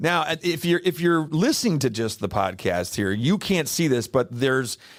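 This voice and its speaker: Speaking at a moderate pace with an American accent, a man uses a fairly high pitch, very wide pitch swings and vocal fry, in a very clean recording with a silent background. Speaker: podcast host. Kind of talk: casual interview chat.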